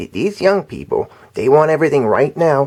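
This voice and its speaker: Using a put-on character voice, a man talks at a moderate pace with a fairly high pitch. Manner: complaining.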